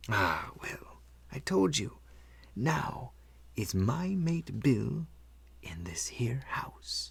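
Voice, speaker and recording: A man's put-on character voice at a very slow pace, broken by long, frequent pauses. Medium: read story. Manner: wheedling, leering.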